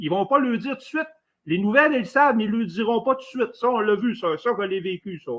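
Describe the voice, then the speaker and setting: A man with a high pitch talks at a very fast pace using lively intonation. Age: 60s. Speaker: former military caller in live debate. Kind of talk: live debate. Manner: halting.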